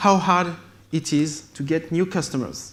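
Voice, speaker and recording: A fairly slow delivery in a French accent. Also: man. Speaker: tech company founder. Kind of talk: conference keynote. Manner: halting.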